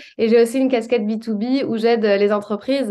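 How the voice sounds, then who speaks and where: A woman's voice, fairly high in pitch. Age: 30s. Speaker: public speaking coach. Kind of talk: interview.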